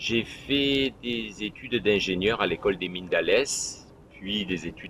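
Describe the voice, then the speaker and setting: A man's bright, sharp voice, fairly low in pitch, at a fairly slow pace. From southern France, Provence. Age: 60s. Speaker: municipal election candidate. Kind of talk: campaign self-presentation. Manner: halting, with hesitations.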